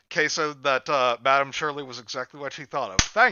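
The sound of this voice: Fairly even intonation from an unforced reading voice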